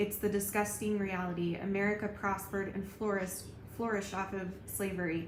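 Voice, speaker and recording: Noticeable background noise and audible room echo around a woman talking fairly quickly. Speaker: YouTuber. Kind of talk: vlog commentary. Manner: subdued, not bubbly.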